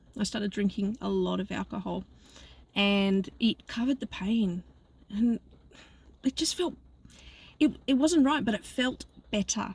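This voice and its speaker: Somewhat breathy and fairly high, a woman speaks at a fairly slow pace with ordinary pitch variation and long, frequent pauses. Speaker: life coach. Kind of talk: casual vlog monologue. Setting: in a car. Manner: halting.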